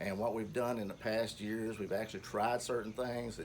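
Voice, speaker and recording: A man with a Kentucky accent and a fairly low pitch, at a moderate pace, in audible room echo. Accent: southern US (Kentucky). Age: 60s. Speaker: home gardener. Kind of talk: garden tour talk. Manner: halting, many fillers.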